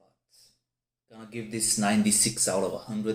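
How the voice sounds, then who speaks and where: This man has a non-native accent. He speaks at a fairly low pitch. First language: not English. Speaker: whisky reviewer. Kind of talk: product review. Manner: halting; animated.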